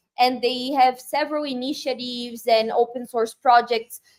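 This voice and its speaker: A woman's high pitch, fairly even intonation, and fairly slow pace. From Brazil. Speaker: tech community leader. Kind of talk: interview conversation.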